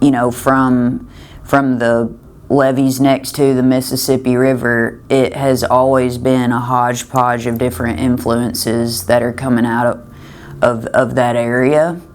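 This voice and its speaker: A woman with a strong Southern US accent and a very deep, low pitch speaks fairly slowly with fairly even intonation, amid audible room echo and noticeable background noise. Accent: thick Southern US. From US South, western Kentucky. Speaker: singer-songwriter. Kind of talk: interview. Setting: backstage at a music festival. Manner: halting, with repeated words and fillers.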